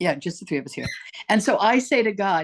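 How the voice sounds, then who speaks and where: A woman speaks fairly quickly at medium pitch, with vocal fry and very wide pitch swings. The sound is dry and close with no echo, over a quiet background. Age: 80s+. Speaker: author and motivational speaker. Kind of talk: casual interview chat. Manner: animated.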